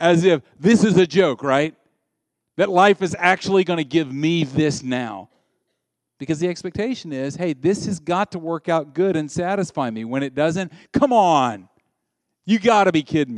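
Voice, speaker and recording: Speaking at a moderate pace with lively intonation, a man with a high pitch talks in a Southern US accent. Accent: Southern American. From US South. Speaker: pastor. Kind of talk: sermon. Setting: church. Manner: animated.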